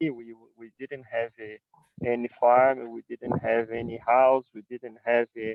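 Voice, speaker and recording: At a fairly slow pace, a man with a Brazilian Portuguese accent speaks at medium pitch in a monotone, flat intonation. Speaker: winery owner. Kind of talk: presentation. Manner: halting.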